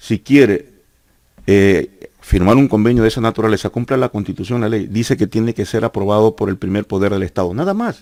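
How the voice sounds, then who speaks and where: A man's fairly low voice with a dark, mellow tone, ordinary pitch variation and a fairly quick pace. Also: dry, close sound with no echo. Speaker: teachers' union leader and former politician. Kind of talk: heated debate. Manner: insistent, halting with repetitions.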